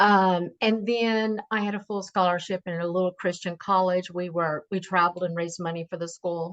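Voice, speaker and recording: A woman with a plain, everyday voice, fairly low in pitch with ordinary pitch variation, at a moderate pace over a quiet background. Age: 60s. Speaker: singer and cigar designer. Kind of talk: interview testimony.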